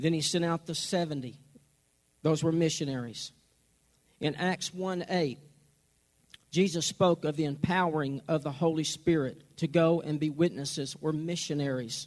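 An American accent marks a man's fairly high voice, which moves at a moderate pace with fairly even intonation and long, frequent pauses. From Oklahoma. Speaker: pastor. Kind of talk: church rally talk on missions giving. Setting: church service with audience.

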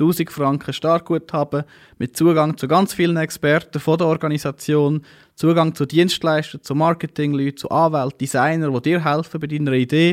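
Recorded dry and close with no echo against a silent background, a man with a fairly high pitch uses a normal speaking voice at a moderate pace with fairly even intonation. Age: 30s. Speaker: startup founder and CEO. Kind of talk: interview.

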